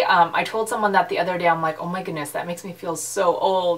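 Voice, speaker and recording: Here a woman talks with a Canadian accent and ordinary pitch variation. Noticeable background noise is present. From western Canada. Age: 30s. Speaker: YouTuber, pastor's wife. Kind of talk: casual vlog chat.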